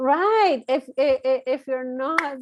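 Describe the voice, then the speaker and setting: A woman with a Latin American accent speaks at a very slow pace. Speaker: marketing firm owner. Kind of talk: interview conversation. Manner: hesitant, many fillers.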